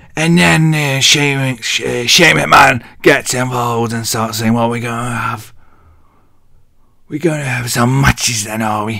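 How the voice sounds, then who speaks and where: A man with an English accent speaks at a fairly slow pace and medium pitch with ordinary pitch variation. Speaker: wrestling vlogger. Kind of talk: casual show recap. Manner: animated.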